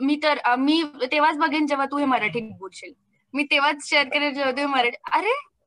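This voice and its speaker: Her voice raised and projected, a woman speaks at a high pitch. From Maharashtra, India. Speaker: content creator, comedy video maker. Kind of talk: casual interview.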